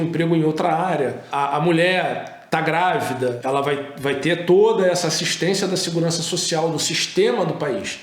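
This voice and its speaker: Over noticeable background noise and audible room echo, a man talks at a moderate pace in a high pitch with ordinary pitch variation. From Brazil, Rio de Janeiro. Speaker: immigration lawyer. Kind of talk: informative interview talk.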